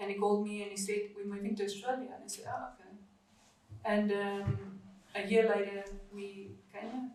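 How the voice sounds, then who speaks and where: In a South African accent, a woman speaks at a medium pitch and moderate pace with fairly even intonation and big swings in loudness, amid noticeable background noise and audible room echo. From South Africa, Afrikaans family. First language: Afrikaans. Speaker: podcast guest sharing life story. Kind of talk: interview testimony. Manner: halting, many fillers.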